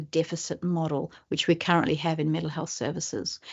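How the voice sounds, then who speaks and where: Speaking fairly quickly, a woman talks in an Australian accent. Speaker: professor. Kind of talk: webinar presentation. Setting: webinar.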